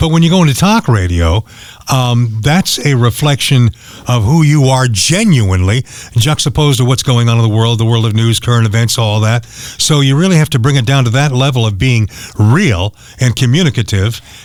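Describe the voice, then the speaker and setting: Background noise is noticeable here. Through it, a man speaks with lively intonation. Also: medium pitch for a man, very even loudness. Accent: American. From Central California (Fresno area). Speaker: talk radio host. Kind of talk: casual interview. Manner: fast.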